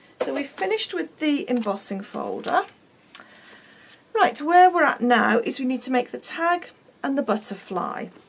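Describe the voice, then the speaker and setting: The pitch swings very widely at a moderate pace, with long, frequent pauses. Noticeable background noise is present. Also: woman, high pitch for a woman. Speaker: craft demonstrator. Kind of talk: tutorial. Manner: chatty; halting.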